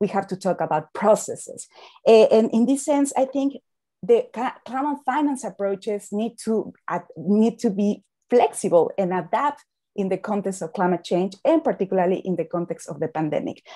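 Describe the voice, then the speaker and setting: With a Spanish accent, a woman speaks at a moderate pace in a dark, mellow, somewhat breathy tone. Her intonation is lively, and the background is quiet. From Mexico. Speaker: climate finance expert; panel expert. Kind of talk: panel discussion. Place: home room. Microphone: earbuds.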